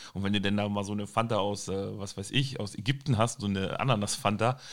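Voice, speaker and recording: Very fast talk from a man, fairly low in pitch, on a very clean recording against a silent background. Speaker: podcast host. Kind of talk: casual chat.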